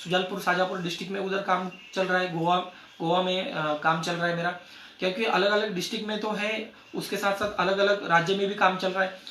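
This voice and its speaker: A man with a Marathi accent uses a raised, projected voice at a high pitch, with monotone, flat intonation and a moderate pace. Noticeable background noise and audible room echo fill the recording. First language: Marathi (speaking Hindi). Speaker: network marketing distributor. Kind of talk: success story talk at a meeting. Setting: meeting with audience. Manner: halting.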